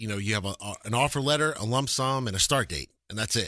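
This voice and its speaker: A man talks with an American accent in a bright, sharp tone, his pitch varying in an ordinary way. The recording is very clean, with a silent background. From Texas, Lubbock. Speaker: relocation business owner. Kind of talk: radio talk show interview. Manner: halting, many repeated words.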